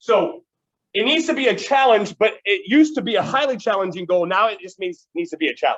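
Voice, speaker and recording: A man's high voice at a fairly quick pace, with very wide pitch swings. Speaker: teacher. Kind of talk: classroom lecture. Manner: fast.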